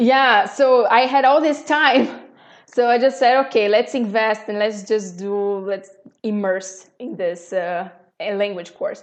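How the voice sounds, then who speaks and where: The speaker has a strong Brazilian accent. The pace is fairly slow. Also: woman, fairly high pitch for a woman, ordinary pitch variation. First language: Portuguese. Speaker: podcast guest, expat. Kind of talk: casual interview chat. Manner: halting, many repeated words.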